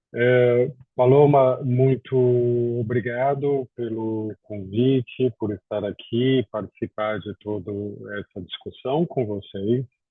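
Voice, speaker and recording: At a very slow pace, a man with a Brazilian accent speaks in a medium pitch with fairly even intonation. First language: Portuguese (speaking Spanish). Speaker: housing expert. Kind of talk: webinar presentation.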